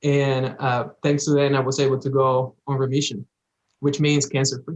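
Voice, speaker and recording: A man with a slight Dominican accent speaks at a moderate pace. His pitch is fairly high and his intonation monotone and flat. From Dominican Republic. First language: Spanish. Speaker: cancer survivor, former patient. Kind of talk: interview.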